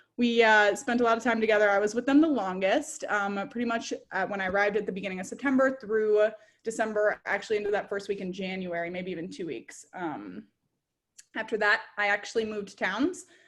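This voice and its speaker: A woman's fairly high, fairly quick voice in an Upper Midwest accent. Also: ordinary pitch variation. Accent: Upper Midwest American. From US Midwest, Minnesota (Edina). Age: 20s. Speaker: former exchange student, graduate student. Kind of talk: presentation talk. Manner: fast.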